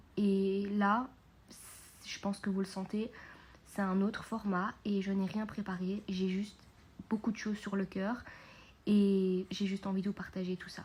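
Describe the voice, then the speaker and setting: The speech comes at a fairly slow pace, broken by long, frequent pauses. The voice is somewhat breathy, with monotone, flat intonation. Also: woman, medium pitch for a woman. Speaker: podcast host and mindset coach. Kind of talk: unscripted podcast monologue. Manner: calmer and quieter than usual; hesitant, many fillers.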